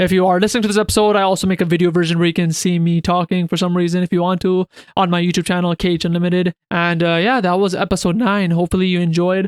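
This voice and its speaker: A man's high voice at a very fast pace with hardly any pauses, in a dry, close sound with no echo. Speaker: podcast host. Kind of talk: casual podcast monologue. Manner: casual, filler-heavy.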